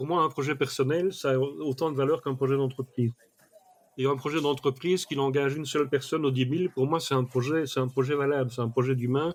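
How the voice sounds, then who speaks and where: Talking very fast, a man uses a fairly high pitch with fairly even intonation. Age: 60s. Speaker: mind mapping expert. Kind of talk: podcast interview. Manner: hesitant, with fillers.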